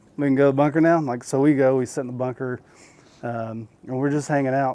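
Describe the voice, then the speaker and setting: Speaking fairly quickly with an American accent, a man has a fairly high pitch and a dark, mellow tone. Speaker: special operations veteran. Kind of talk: interview storytelling. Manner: casual, animated storytelling.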